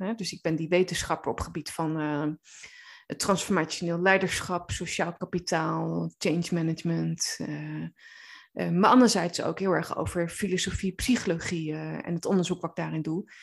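This recording is very clean, with a silent background. The delivery moves at a moderate pace. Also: woman. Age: 30s. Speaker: coach and therapist. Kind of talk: podcast monologue. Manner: hesitant, many filler words.

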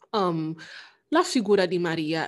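An unremarkable speaking voice with lively intonation comes through on a very clean recording with a silent background. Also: woman. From Italy. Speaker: anthropologist. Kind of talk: casual chat.

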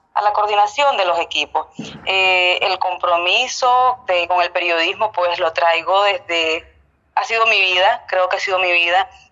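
Speaking at a fairly slow pace in a Nicaraguan accent, a woman has a fairly low pitch and a bright, sharp tone. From Nicaragua, Estelí. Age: 30s. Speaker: TV news editor. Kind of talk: interview.

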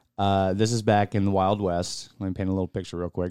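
A man with an unremarkable speaking voice talks in a fairly low pitch with fairly even intonation. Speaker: radio co-host. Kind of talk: radio DJ patter, laid-back bro banter with crude jokes. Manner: relaxed, easygoing, joking, interrupting, 'bro'-style slang.

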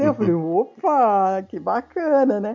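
A woman speaks with music in the background. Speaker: film director. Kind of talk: casual chat.

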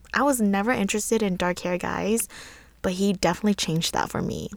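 Speaking at a fairly quick pace, a woman uses a medium pitch with ordinary pitch variation. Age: 20s. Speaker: podcast host. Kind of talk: personal monologue. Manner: calm.

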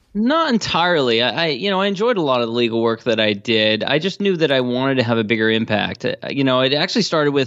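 A man speaks very fast with lively intonation and hardly any pauses. His loudness stays very even. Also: medium pitch for a man. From Washington DC area. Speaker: entrepreneur and podcast host. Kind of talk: interview.

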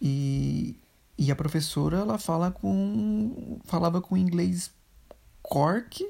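A woman's fairly low, somewhat breathy voice, dark and mellow, very slow with long, frequent pauses and very wide pitch swings. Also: very even loudness. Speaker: podcast co-host. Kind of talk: casual chat.

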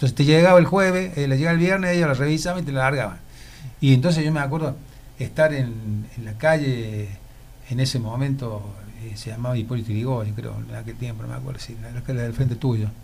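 A man of medium pitch speaks at a fairly quick pace, somewhat breathy, with ordinary pitch variation. His loudness swings widely, and there is audible room echo. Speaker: former cinema owner, shopkeeper. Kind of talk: radio interview, reminiscing. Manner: halting, repetitive.

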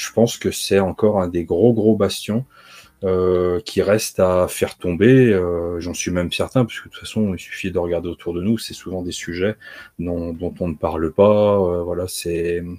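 This man talks at a fairly slow pace with a very deep, low pitch and fairly even intonation. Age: 40s. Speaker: comics video creator. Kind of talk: casual chat.

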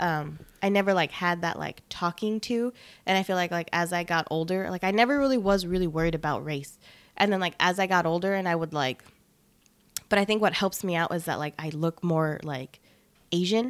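With an American accent, a woman speaks at a fairly low pitch using ordinary pitch variation. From Los Angeles area, US. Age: 20s. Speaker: podcast co-host. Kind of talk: casual chat. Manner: casual, filler-heavy with frequent laughter.

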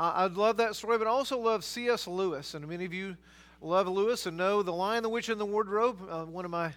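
This is a natural reading voice. Its pitch varies by an ordinary amount.

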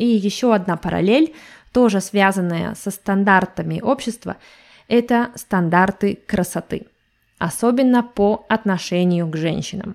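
A woman speaks at a fairly slow pace in a normal speaking voice. Her pitch sits in the medium range, with ordinary pitch variation. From Russia. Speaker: language teacher podcaster. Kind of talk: podcast monologue for learners. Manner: clear, measured for learners.

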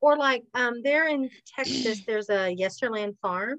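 A woman with an unremarkable speaking voice, fairly high in pitch and lively in intonation, comes through in a dry, close sound with no echo. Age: 40s. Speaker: podcast co-host. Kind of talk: casual chat.

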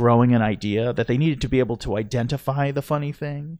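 A man talks at a moderate pace with ordinary pitch variation. His medium-pitched voice is an unremarkable speaking voice. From US (second-generation Italian American). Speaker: clown and improv performer. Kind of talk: casual chat.

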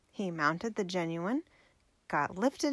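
A woman's voice with very wide pitch swings, on a very clean recording against a silent background

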